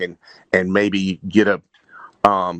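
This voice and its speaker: In a North Carolina accent, a man speaks with a fairly low pitch, a bright, sharp tone and monotone, flat intonation, in a dry, close sound with no echo. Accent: Southern North Carolina. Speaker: garage rock musician and frontman. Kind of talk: casual podcast conversation. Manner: halting, many repetitions and fillers.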